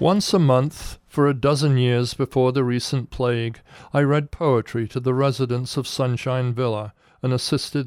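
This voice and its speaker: On a very clean recording with a silent background, a man speaks at a moderate pace in a medium pitch with fairly even intonation. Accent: American. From English Midlands, Coventry. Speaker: essayist reading own piece. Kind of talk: scripted personal essay reading.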